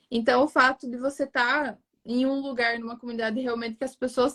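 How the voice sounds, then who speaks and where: A woman's high-pitched voice at a moderate pace, with a southern Brazilian accent, in a dry, close sound with no echo. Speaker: digital marketing strategist. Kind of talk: interview conversation.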